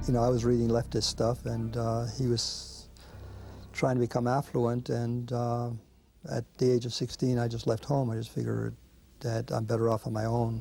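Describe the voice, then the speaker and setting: Over music in the background, a man at a medium pitch speaks at a moderate pace with monotone, flat intonation. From Belgium, moved to New York at thirteen. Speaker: animal rights activist. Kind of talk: documentary interview.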